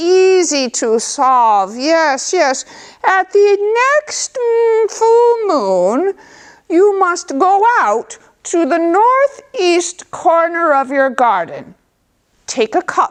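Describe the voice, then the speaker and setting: A put-on, female-sounding character voice, extremely high, very slow, with very wide pitch swings. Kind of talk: folk tale storytelling. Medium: read story. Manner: warm, unhurried, knowing.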